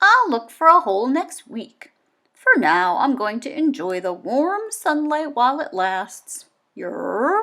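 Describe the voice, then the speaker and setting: Drawling and croaky, a woman's put-on character voice sits at a high pitch with very wide pitch swings. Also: fairly slow pace. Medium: read story. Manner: drawling, croaking "yerp".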